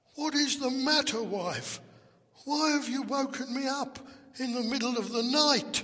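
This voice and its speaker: Putting on a character voice, a man speaks at an extremely high pitch and a moderate pace. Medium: read story. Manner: timid, hesitant.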